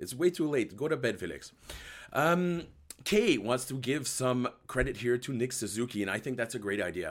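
Talking at a fairly quick pace, a man uses very wide pitch swings and vocal fry on a very clean recording with a silent background. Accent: slight French. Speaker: hockey podcast host. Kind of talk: live post-game recap with chat. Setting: live video stream.

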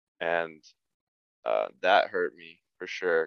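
A man with a General American accent, recorded with a dry, close sound and no echo. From Colorado, suburban Denver. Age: 20s. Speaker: apparel brand founder. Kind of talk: casual interview. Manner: casual, filler-heavy.

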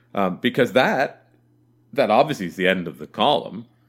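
At a moderate pace, a man speaks with vocal fry in a very clean recording with a silent background. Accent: Canadian. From Southern Ontario, Canada. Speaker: sports podcast host. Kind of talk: casual chat.

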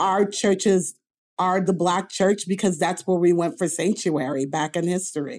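The recording is very clean with a silent background. A woman with an unremarkable speaking voice talks at a moderate pace in a medium pitch, with ordinary pitch variation. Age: 50s. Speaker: author and lay theologian. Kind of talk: casual interview.

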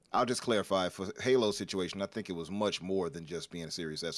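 A man speaks at a very fast pace with a very deep, low pitch. The recording is very clean with a silent background. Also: hardly any pauses, big swings in loudness. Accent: American. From Chicago. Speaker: gaming podcast guest. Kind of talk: casual chat.

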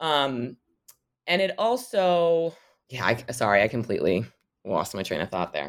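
Very wide pitch swings at a moderate pace, with long, frequent pauses and an American accent, in a very clean recording with a silent background. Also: woman, very deep, low pitch for a woman. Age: 30s. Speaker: history professor and author. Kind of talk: interview. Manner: halting, many fillers.

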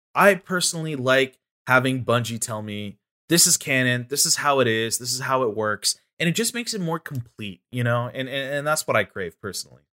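Bright and sharp in tone, a man at a medium pitch talks at a fairly quick pace with lively intonation. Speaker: video game content creator. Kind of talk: casual podcast discussion. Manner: animated, enthusiastic.

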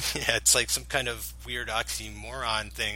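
Noticeable noise sits in the background. Through it, a man talks. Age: 30s. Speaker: podcast co-founder. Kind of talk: casual chat.

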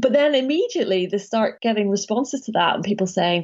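Speaking at a fairly quick pace, a woman talks with a British accent. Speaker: academic author. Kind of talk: interview.

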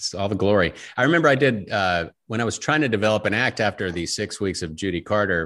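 A man with a fairly low pitch rushes along at a very fast pace with hardly any pauses. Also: lively intonation, quiet background. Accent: American. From Virginia (Richmond). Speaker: comedic actor and voice actor. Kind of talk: casual chat.

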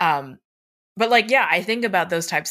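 A woman with an American accent has a bright, sharp tone and ordinary pitch variation, in a very clean recording with a silent background. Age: 20s. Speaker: tabletop RPG performer and podcast co-host. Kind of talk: casual chat.

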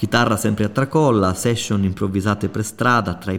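An ordinary speaking voice belongs to this man, who keeps a moderate speed, sits fairly low in pitch and shows ordinary pitch variation. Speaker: podcast host. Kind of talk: scripted narration.

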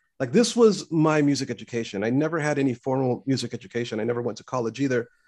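This man has an unremarkable speaking voice, fairly high for a man, and talks at a fairly quick pace with an American accent. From US West Coast, Los Angeles. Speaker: composer for animation.

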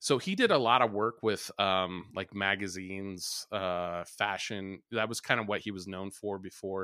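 A man's bright, sharp tone comes through with fairly even intonation in a very clean recording over a silent background. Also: fairly low pitch for a man, moderate pace, hardly any pauses. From rural small town. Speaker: art podcast contributor. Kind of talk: casual chat.

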